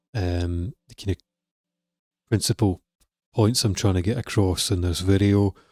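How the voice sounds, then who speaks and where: A man with a Scottish accent, fairly low in pitch, with a dark, mellow tone, fairly even intonation and a moderate pace, dry sound with no echo over a quiet background. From Scotland. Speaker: music production coach. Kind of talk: tutorial. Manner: casual. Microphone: studio mic.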